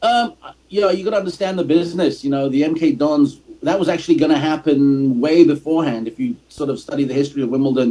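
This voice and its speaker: A man speaks at a very fast pace. His fairly high voice moves with lively intonation. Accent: English. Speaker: soccer podcast host and commentator. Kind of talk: casual podcast chat.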